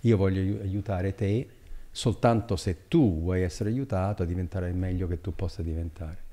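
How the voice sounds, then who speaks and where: Very deep, low male voice, somewhat breathy, with a dark, mellow tone. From Italy, Abruzzo. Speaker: economic development consultant; podcast guest. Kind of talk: long-form interview. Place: studio. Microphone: studio mic.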